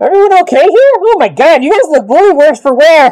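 A squeaky put-on character voice at an extremely high pitch and fairly quick pace. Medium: actual play. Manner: loud, excitable.

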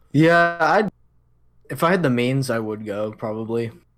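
A man's voice with music in the background. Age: 20s. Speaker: podcast co-host. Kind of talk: casual chat.

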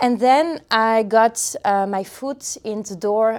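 A woman speaks with a French accent. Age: 30s. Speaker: community manager. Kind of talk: interview. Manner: halting.

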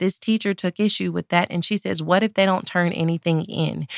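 A woman with a plain, everyday voice at a fairly low pitch, fairly even intonation, and a dry, close sound with no echo on a very clean recording with a silent background. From Dallas, Texas. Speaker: podcast host and pastor. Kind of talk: casual chat. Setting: Facebook Live video stream.

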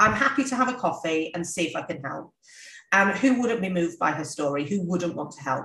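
Fairly low-pitched British-accented woman's voice, fairly quick and lively in intonation. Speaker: business owner. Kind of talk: interview conversation.

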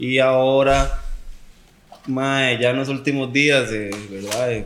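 A man's medium-pitched, monotone, flat delivery in a Costa Rican accent, with audible room echo and noticeable background noise. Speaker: professional footballer. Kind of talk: casual chat.

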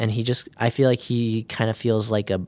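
This is a man speaking with an American accent. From northern Illinois, US. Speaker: nursing student. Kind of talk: casual interview.

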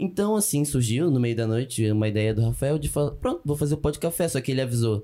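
The tone is dark and mellow, with lively intonation at a very fast pace. Loudness stays very even throughout. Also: man, medium pitch for a man, hardly any pauses. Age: 20s. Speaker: student immigrant. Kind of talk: casual chat.

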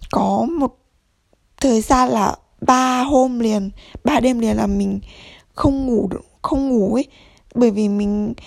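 A woman's fairly high voice at a very slow pace, with long, frequent pauses. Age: 20s. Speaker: podcaster. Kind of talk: casual monologue.

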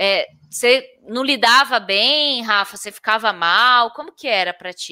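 Speaking at a fairly slow pace, a woman with a bright, sharp tone and fairly high pitch uses lively intonation and big swings in loudness. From interior of São Paulo state, Brazil. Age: 30s. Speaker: podcast host. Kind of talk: casual interview.

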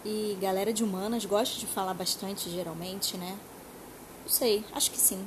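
Fairly even intonation at a moderate pace, with audible room echo and noticeable background noise. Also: woman, medium pitch for a woman. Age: 30s. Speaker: podcast host. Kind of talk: casual monologue. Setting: home sofa. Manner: talkative.

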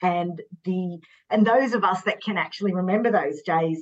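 A woman speaks in a medium pitch with an Australian accent. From Sydney, Australia. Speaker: fashion stylist. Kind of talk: casual chat.

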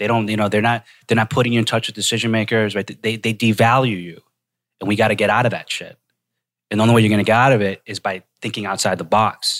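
A man talks at a very fast pace in an American accent. The recording is very clean, with a silent background. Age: 30s. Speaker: podcast host. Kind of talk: casual chat. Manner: animated.

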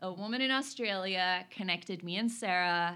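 In a Norwegian accent, a woman speaks at a medium pitch with ordinary pitch variation. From Norway. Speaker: business consultant and networking speaker. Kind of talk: casual interview.

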